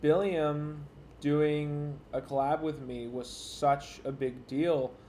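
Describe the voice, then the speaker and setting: A man speaks quietly in a fairly high pitch. His tone is dark and mellow. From rural area, horse country. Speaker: YouTuber streamer. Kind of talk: casual livestream chat. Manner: quiet, stilted; sarcastic, intimidating-sounding.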